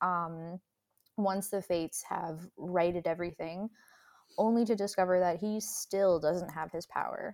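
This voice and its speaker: A woman speaks with a plain, everyday voice and an American accent, fairly low in pitch with fairly even intonation. Her pace is fairly slow, and the recording is very clean with a silent background. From United States. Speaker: indie author. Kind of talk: casual chat.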